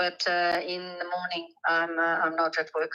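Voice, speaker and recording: Speaking at a moderate pace, a woman has an unremarkable speaking voice with fairly low pitch. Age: 60s. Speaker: letter writer with a business dream. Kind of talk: phone call. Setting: phone call from her workplace.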